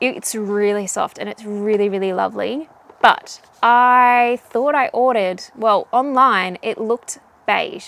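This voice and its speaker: A woman talks in a fairly high voice with a strong Australian accent and an animated tone. Her pace is fairly slow, and her pitch variation is ordinary. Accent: very Australian. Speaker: knitting vlogger. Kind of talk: casual vlog chat.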